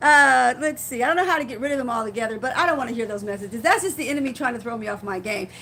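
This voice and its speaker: A woman with a high, bright, sharp voice talks at a very fast pace with lively intonation and hardly any pauses. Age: 50s. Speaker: faith-based vlogger. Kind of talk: casual live-stream talk. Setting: live stream, seated in rocking chair. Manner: halting, repeats words.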